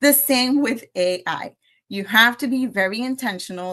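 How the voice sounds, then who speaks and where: Lively intonation and a bright, sharp tone come through in a Spanish accent over a quiet background. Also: woman. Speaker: AI educator. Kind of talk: presentation.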